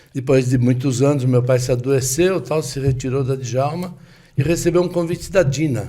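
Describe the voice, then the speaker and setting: There is audible room echo as a man talks in a somewhat breathy voice with a dark, mellow tone and medium pitch. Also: ordinary pitch variation, moderate pace. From Brazil, São Paulo. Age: 70s. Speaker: businessman in car accessories trade. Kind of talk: interview storytelling.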